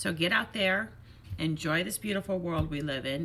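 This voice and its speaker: Her tone is animated, her pitch fairly low, with ordinary pitch variation. The woman keeps a moderate pace against noticeable background noise. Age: 50s. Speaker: fitness instructor and vlogger. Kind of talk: casual motivational vlog talk.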